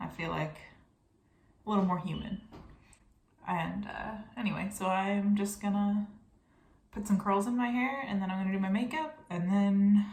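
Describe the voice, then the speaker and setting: Somewhat breathy, a woman speaks at a moderate pace with long, frequent pauses, and audible room echo is present. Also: medium pitch for a woman, ordinary pitch variation. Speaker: beauty vlogger. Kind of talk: get ready with me tutorial. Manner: soft-spoken; casual, hesitant.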